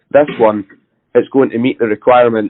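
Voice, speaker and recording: A man speaks with a Scottish accent. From Scotland. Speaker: network engineer. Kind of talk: casual discussion.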